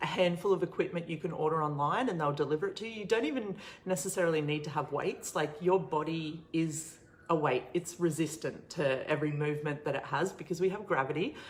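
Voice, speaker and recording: A woman with an Australian accent speaks at a fairly quick pace in a fairly low pitch, with ordinary pitch variation. Noticeable background noise sits behind her. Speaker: online show host, coach. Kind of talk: casual livestream Q&A. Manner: casual, filler-heavy; quiet.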